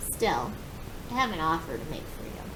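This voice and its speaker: A woman's put-on character voice, fairly low in pitch and at a fairly quick pace, over loud background noise. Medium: read story. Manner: gruff.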